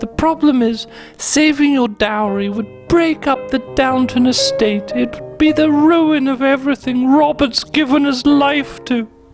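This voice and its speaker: A female-sounding voice takes on a high, put-on character voice. It moves at a moderate pace over clear background music. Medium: comedy sketch. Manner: haughty, upper-class.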